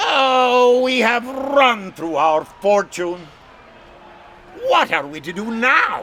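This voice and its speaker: A man speaks in a put-on character voice, extremely high in pitch. His pace is very slow, with long, frequent pauses. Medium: read story.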